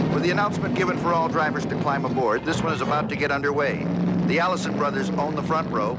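Loud background noise fills the clip. Over it, a man talks at a very fast pace. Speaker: race narrator. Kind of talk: commentary.

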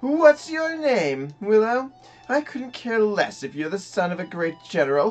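A put-on, gruff character voice that sounds female, at a fairly slow pace, with music in the background. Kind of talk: reading game dialogue in character.

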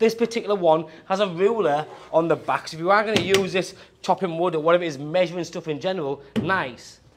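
Noticeable background noise accompanies a man speaking at a high pitch and a fairly quick pace with ordinary pitch variation. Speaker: car salesman. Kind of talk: product walkaround presentation. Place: shop. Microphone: lapel.

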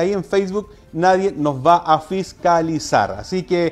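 The man talks at a high pitch. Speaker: radio host. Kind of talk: news commentary. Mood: earnest, appealing. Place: studio.

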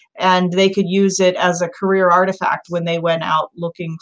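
Against a quiet background, a woman speaks at a moderate pace in a monotone with flat intonation. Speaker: instructional designer; instructor discussing e-portfolios. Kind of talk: panel discussion. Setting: video call. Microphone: video call.

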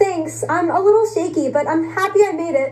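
A woman uses a put-on character voice at an extremely high pitch. It sounds squeaky and moves at a fairly quick pace. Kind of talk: scripted dialogue. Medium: stage play. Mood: shaky, relieved.

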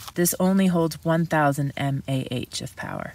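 Dry sound with no echo and light background noise. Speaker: backpacking gear reviewer. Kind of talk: tutorial. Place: tent. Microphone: phone near.

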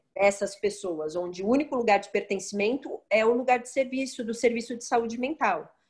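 Hardly pausing, a woman speaks at a moderate pace with ordinary pitch variation and big swings in loudness. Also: quiet background. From Brazil, Santos (São Paulo state); São Paulo state, Brazil. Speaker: occupational therapist; interviewee. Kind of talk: interview. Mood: calm, thoughtful. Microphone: video call.

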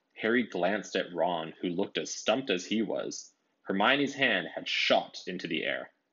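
An unforced reading voice, the background quiet

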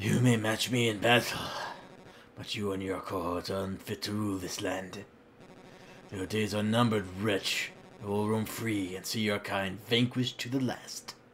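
A man uses a raspy, put-on character voice, fairly low and monotone with flat intonation, at a moderate pace. Clear background noise is present. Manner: pompous, menacing, theatrical.

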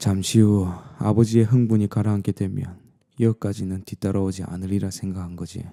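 A man with a dark, mellow tone and fairly low pitch talks at a fairly quick pace in a monotone, flat intonation. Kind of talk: bedtime storytelling ASMR. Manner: dramatic, shifting into a pleading voice for the daughter's lines.

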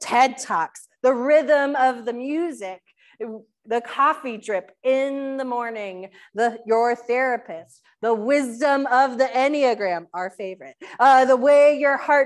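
A woman with a high-pitched voice speaks with ordinary pitch variation over a quiet background. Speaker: pastor. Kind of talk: sermon. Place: church.

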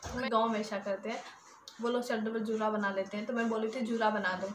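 A woman talks at a fairly quick pace. Noticeable background noise runs underneath. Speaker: vlogger. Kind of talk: casual vlog chat. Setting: at home. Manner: talkative. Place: home room. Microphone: phone near.

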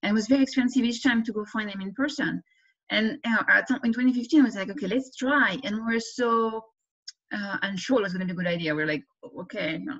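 A woman's very fast speech with lively intonation over a quiet background. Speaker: economics professor. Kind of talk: interview Q&A. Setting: video call. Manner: fast talker. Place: home room. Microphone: webcam.

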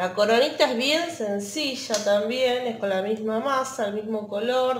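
A woman with a fairly high pitch and ordinary pitch variation, at a fairly slow pace, with audible room echo

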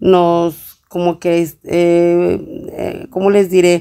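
With a dark, mellow tone, this woman talks in a fairly low register. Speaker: home cleaning vlogger. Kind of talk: tutorial. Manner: casual, with many fillers.

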